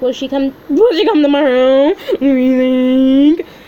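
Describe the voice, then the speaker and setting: High-pitched and fairly slow, a put-on character voice from a woman. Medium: read story.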